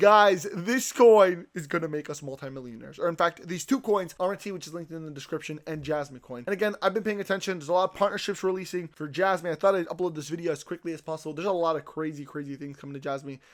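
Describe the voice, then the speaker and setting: A man speaks at a very fast pace with hardly any pauses, in a high voice with ordinary pitch variation and big swings in loudness. The recording is very clean, with a silent background. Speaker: crypto YouTuber. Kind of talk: sales pitch. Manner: animated.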